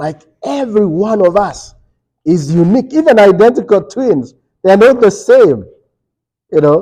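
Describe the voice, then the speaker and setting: A man speaks loudly at a moderate pace, his high pitch making very wide swings. His tone is dark and mellow, broken by long, frequent pauses. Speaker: Bible study teacher. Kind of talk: Bible study lesson. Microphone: speaking without microphone, muted it.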